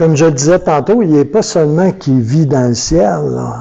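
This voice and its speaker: A man with a fairly high pitch, lively intonation and a somewhat breathy voice. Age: 60s. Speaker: pastor. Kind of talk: sermon. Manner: animated.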